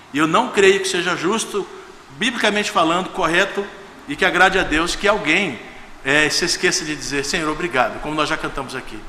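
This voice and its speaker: Over noticeable background noise and audible room echo, a man speaks high and fairly quickly, with ordinary pitch variation. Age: 60s. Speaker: guest pastor. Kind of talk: sermon. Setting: church service. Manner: informal, conversational.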